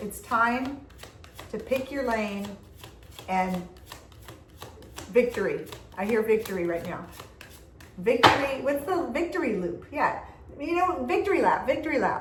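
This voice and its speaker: Loud and animated, a woman with a high pitch talks at a fairly slow pace with very wide pitch swings and long, frequent pauses, amid noticeable background noise and audible room echo. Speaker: tarot reader. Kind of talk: tarot reading. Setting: indoor room.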